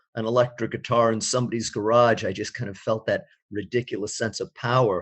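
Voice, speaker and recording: Here is a man with an ordinary speaking voice and an American accent. His pitch is medium and his pace moderate. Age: 60s. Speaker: experimental musician. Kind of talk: interview.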